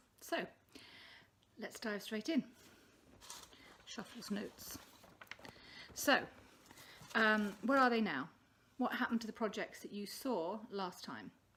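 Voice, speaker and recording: Over noticeable background noise, a woman speaks at a fairly slow pace and fairly high pitch, with ordinary pitch variation, big swings in loudness and long, frequent pauses. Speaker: crafting podcaster. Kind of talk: casual vlog chat. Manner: hesitant, many fillers. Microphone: poor sound quality.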